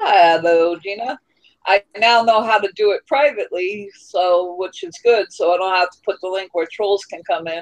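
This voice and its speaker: A normal speaking voice from a woman at medium pitch, moving at a moderate pace with ordinary pitch variation and big swings in loudness, captured in a dry, close sound with no echo. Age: 30s. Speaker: livestream host. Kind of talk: casual chat.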